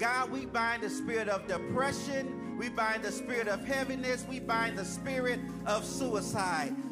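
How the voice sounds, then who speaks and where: The speech moves at a fairly slow pace with ordinary pitch variation. Loud music plays in the background. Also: man. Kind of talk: prayer. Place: church. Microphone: handheld.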